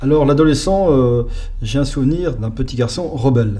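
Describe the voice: Moderate pace and a dark, mellow tone from a man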